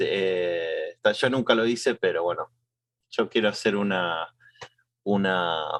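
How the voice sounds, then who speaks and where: Very slow delivery with long, frequent pauses and a dry, close sound free of echo. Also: man. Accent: Argentine. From Argentina. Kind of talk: podcast conversation.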